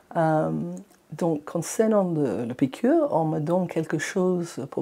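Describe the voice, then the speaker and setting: A woman speaks with a non-native accent in a very deep, low voice with a dark, mellow tone. Her pitch varies in an ordinary way, and the recording is very clean with a silent background. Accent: foreign accent in French. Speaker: eye patient. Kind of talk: patient testimony podcast. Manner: hesitant, conversational.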